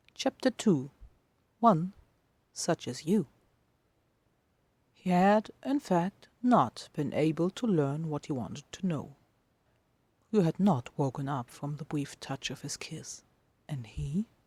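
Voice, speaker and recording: Very slow and marked by long, frequent pauses, a woman's somewhat breathy voice sits very deep and low, with very wide pitch swings and big swings in loudness, in a dry, close sound with no echo. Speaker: podfic reader and writer. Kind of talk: dramatic fiction reading.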